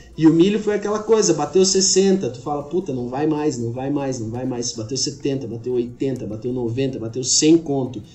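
Amid noticeable background noise, a man talks at a moderate pace with hardly any pauses, a fairly high pitch, lively intonation and big swings in loudness. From Santa Catarina, Brazil (Xanxerê). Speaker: agronomist and agricultural market analyst. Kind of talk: casual podcast interview.

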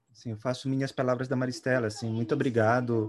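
A man talks with monotone, flat intonation. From Belém, Pará, then São Paulo from adolescence. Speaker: music therapist. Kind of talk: panel discussion. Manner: halting.

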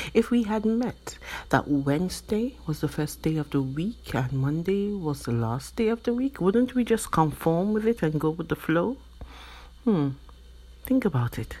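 A woman talks at a fairly slow pace with a fairly low pitch and a dark, mellow, somewhat breathy tone. Her pitch swings very widely, and the recording is very clean with a silent background. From Nigeria. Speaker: podcast host. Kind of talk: motivational monologue.

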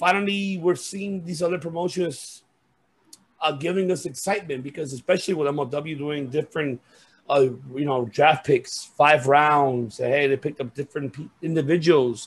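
This man talks at a moderate tempo in a somewhat breathy, fairly high voice whose pitch varies in the usual way. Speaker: wrestling podcast host. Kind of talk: casual chat. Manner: animated.

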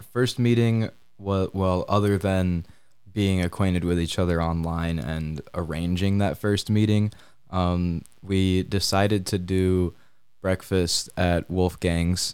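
This man has a very deep, low pitch and an Upper Midwest accent. He speaks at a very slow pace. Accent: Upper Midwest American. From Michigan, Kalamazoo. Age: 20s. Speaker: college student. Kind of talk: casual interview.

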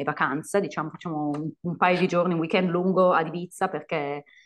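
Against a quiet background, a woman with a normal speaking voice talks at a fairly quick pace, with fairly low pitch and ordinary pitch variation. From Italy. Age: 30s. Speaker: English teacher. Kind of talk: casual chat.

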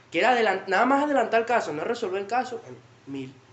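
Very fast speech in a Venezuelan accent, with noticeable background noise. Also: man. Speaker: podcast guest. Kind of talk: casual chat.

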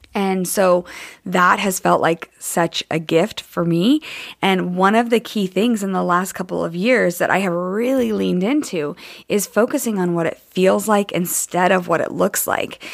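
Very clean recording with a silent background, featuring a woman with a normal speaking voice. She talks at a moderate pace and medium pitch, with ordinary pitch variation. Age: 30s. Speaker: podcast host and coach. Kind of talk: solo podcast monologue. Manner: conversational, with frequent fillers.

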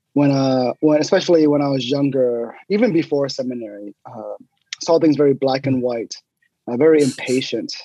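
Speaking at a moderate pace, a man with an American accent has a medium pitch, a dark, mellow tone and ordinary pitch variation, in a dry, close sound with no echo. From Texas, Houston area (Sugar Land). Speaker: pastor. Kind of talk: interview testimony. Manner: halting, many fillers.

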